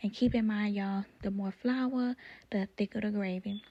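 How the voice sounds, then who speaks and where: Whispering and soft-spoken, the voice moves at a fairly quick pace. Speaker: cooking vlogger. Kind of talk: voice-over cooking tutorial. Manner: soft, near whispering; casual, chatty.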